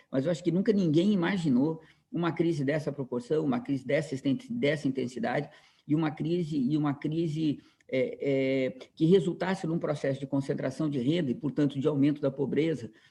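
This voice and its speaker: At a fairly quick pace, a man with a fairly high pitch, ordinary pitch variation and a dark, mellow, somewhat breathy tone speaks. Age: 60s. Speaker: professor. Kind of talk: lecture. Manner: halting, many repetitions and fillers.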